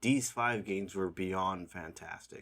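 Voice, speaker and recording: A man's bright, sharp tone at a very slow pace with ordinary pitch variation, on a very clean recording with a silent background. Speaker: indie game developer. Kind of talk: casual video commentary ranking games.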